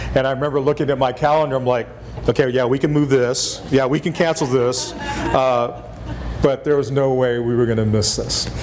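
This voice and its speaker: Someone with a Texas accent talks at a fairly quick pace with fairly even intonation. Noticeable background noise and audible room echo fill the recording. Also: man, medium pitch for a man. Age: 60s. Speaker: former national park superintendent. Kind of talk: lecture.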